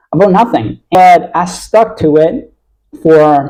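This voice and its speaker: A man's dark, mellow tone at a fairly high pitch, with lively intonation and an American accent. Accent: American-sounding. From Italy. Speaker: copywriter vlogger. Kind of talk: casual vlog monologue. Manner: halting, many fillers.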